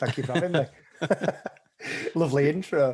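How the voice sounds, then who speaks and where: Here a man speaks with a Sheffield accent. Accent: Sheffield northern English. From northern England, Sheffield. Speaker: account director, mental health ambassador. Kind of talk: podcast interview. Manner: cheerful, upbeat.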